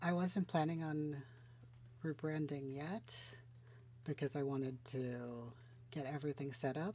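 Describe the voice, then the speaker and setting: A soft-spoken woman's voice, very deep and low in pitch with a dark, mellow tone, ordinary pitch variation, a fairly slow pace, and long, frequent pauses. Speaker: VTuber gaming streamer. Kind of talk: casual let's-play commentary. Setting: home recording with headphones, game audio. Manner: soft-spoken, talking quietly.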